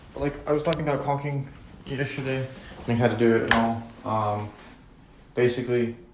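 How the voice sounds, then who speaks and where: Amid noticeable background noise and audible room echo, a man speaks at a fairly quick pace and medium pitch with fairly even intonation. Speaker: maintenance worker vlogger. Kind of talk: casual vlog while working. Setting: empty apartment while working. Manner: many filler ums. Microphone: echoey room.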